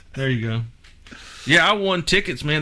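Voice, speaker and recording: A man with a Southern US accent talks in a bright, sharp tone at a fairly high pitch. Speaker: podcast host. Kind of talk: casual chat.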